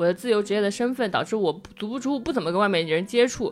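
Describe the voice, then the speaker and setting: Noticeable background noise accompanies a woman with a fairly high pitch. She talks at a very fast pace. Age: 20s. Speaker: podcast host. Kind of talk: casual chat.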